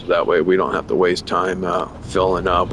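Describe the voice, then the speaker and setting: There is noticeable background noise. A man speaks at a moderate pace in a very deep, low voice. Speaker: gaming streamer. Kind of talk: casual chat. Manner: halting.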